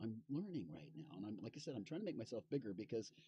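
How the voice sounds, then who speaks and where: A man speaks with a fairly low pitch and a dark, mellow tone. His voice is somewhat breathy, and his intonation is lively. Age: 60s. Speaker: musician and fiddler streaming live. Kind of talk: casual live stream chat. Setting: live stream from inside an RV. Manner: halting, many fillers and repeats.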